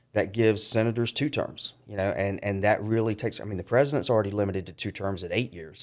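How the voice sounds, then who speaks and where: Very fast delivery with fairly even intonation. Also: man. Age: 50s. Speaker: county councilman running for Congress. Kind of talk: interview.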